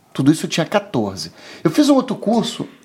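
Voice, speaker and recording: A man talks with very wide pitch swings. Noticeable background noise is present. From Rio de Janeiro, Brazil. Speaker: IT and telecom professional. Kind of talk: casual interview.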